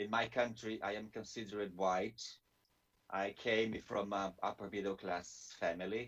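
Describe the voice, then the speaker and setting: A man speaks with a Brazilian Portuguese accent in a fairly low, monotone, flat voice. His pace is fairly slow. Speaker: theologian and Bible scholar. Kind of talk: webinar presentation. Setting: video call webinar. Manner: halting, with frequent fillers and restarts.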